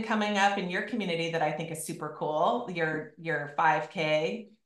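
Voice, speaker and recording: A woman's voice carries audible room echo over a quiet background. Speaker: podcast host and fitness coach; podcast host, fitness coach. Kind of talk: casual chat. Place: home room. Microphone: video call.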